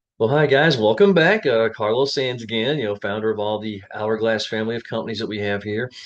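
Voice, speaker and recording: With an unremarkable speaking voice, a man of medium pitch talks at a fairly quick pace with ordinary pitch variation and hardly any pauses. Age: 60s. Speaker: job interview coach. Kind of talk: casual talk to camera. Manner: conversational, many fillers.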